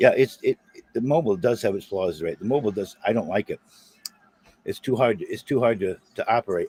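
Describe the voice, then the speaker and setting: A man with an American accent and medium pitch, at a fairly quick pace with ordinary pitch variation and big swings in loudness, in a dry, close sound with no echo. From South Boston. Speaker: live streamer. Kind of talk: casual chat. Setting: live stream.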